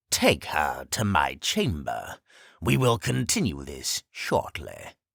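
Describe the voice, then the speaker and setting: A man puts on a character voice, very deep and low, at a fairly slow pace. The recording is very clean and dry, close with no echo and a silent background. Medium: read story. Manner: cold, commanding.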